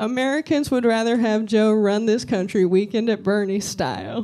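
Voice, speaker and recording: Here is a woman with an ordinary speaking voice, fairly high in pitch, at a moderate pace. The recording is very clean and the background silent. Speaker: comedian doing roast as political figure. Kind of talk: stand-up roast impression.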